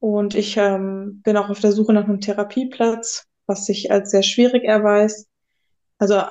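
At a fairly slow pace, a woman of medium pitch speaks in a dark, mellow tone with monotone, flat intonation. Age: 20s. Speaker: guest sharing mental illness experience. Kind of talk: personal testimony interview. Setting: psychiatric inpatient stay.

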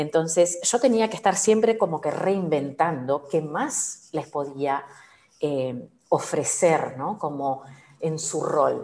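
Very slow delivery with lively intonation. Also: woman, very deep, low pitch for a woman. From Peru, Lima. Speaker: agile coach. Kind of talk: interview.

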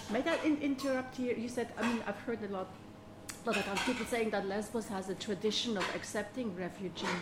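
Over noticeable background noise, a woman with a German accent speaks at a fairly quick pace in a fairly high voice with ordinary pitch variation. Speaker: podcast host. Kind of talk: interview. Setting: kitchen.

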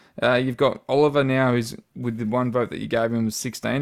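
A man with an Australian accent talks at a fairly quick pace and medium pitch with ordinary pitch variation, recorded very cleanly against a silent background. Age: 30s. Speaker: football fan podcast host. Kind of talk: casual chat.

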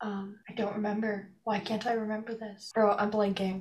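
A woman of medium pitch speaks in a somewhat breathy voice with monotone, flat intonation. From Canada. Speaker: podcast host. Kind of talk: casual chat.

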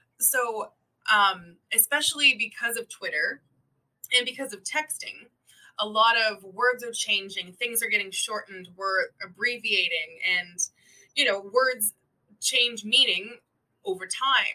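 A plain, everyday voice with a Canadian accent moves at a fairly slow pace, showing ordinary pitch variation and big swings in loudness. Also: woman. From Canada. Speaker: English speaking partner for language learners. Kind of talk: casual chat.

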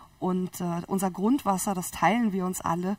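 Her voice is a normal speaking voice, a woman at medium pitch using fairly even intonation and a moderate pace. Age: 30s. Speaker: biologist and entrepreneur. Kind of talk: interview.

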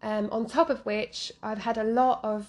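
In a London accent, a woman speaks at a fairly high pitch with an animated tone. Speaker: fitness podcast host. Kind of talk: casual solo podcast monologue. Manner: animated, giggly.

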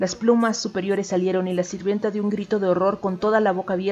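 The intonation stays fairly even while the speaker is reading aloud in a natural voice.

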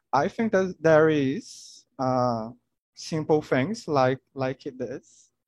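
With a Portuguese accent, a man talks at a very slow pace and a fairly high pitch, his sound dry and close with no echo against a quiet background. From Brazil, Maranhão. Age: 20s. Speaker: chemistry student. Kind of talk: casual chat. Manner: halting.

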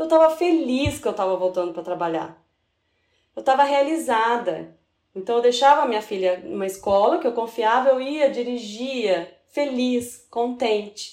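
A woman with a high voice speaks at moderate speed, her intonation lively. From São Paulo city, Brazil. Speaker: sales manager, food engineer. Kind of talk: casual interview.

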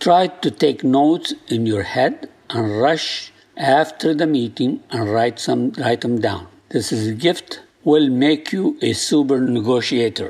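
At medium pitch, a man with a non-native accent talks with ordinary pitch variation. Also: fairly slow pace. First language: not English. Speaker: podcast host and negotiation coach. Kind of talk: solo instructional talk. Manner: halting, self-correcting.

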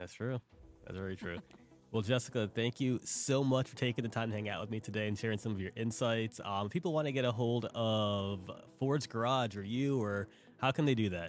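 Ordinary pitch variation, a fairly quick pace, medium pitch, and a plain, everyday voice from a man. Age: 30s. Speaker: podcast host. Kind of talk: interview. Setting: restaurant.

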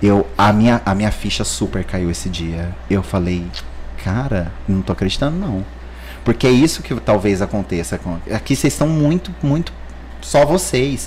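A man with a very deep, low pitch talks at a moderate pace, his pitch swinging very widely over noticeable background noise. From Paraná, Brazil (Maringá area). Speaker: plastic surgeon. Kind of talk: casual chat.

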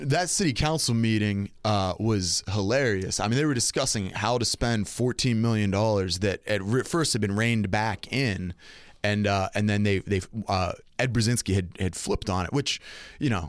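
A man with an ordinary speaking voice, fairly low-pitched, with ordinary pitch variation, very even loudness and a moderate pace, in a very clean recording with a silent background. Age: 30s. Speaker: city council president and pastor. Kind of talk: interview. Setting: studio.

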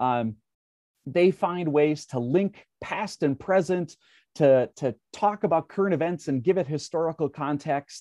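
A man with an Upper Midwest accent speaks fairly slowly at a fairly high pitch, with ordinary pitch variation and a dark, mellow tone. The background is quiet, and the sound is dry and close with no echo. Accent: Upper Midwest American. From Minnesota. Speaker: education director, former teacher. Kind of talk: podcast interview.

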